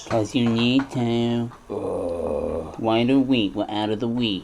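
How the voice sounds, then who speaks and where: A put-on character voice, low in pitch and fairly slow, over clear background noise. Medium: audio drama. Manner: flat, repetitive, insistent.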